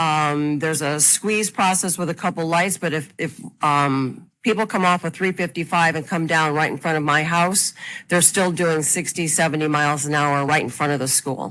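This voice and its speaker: A loud woman with a Chicago accent talks at a moderate pace in a very deep, low pitch. Her tone is bright and sharp, with ordinary pitch variation. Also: very clean recording, silent background. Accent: Chicago-area American. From Illinois, Chicago suburbs (Burr Ridge). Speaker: farm owner, public commenter. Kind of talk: public hearing testimony. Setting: public meeting room with microphone.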